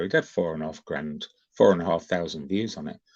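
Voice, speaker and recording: Against a quiet background, a man talks with an English accent. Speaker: YouTube livestream host. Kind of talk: casual livestream chat. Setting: livestream on camera. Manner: animated.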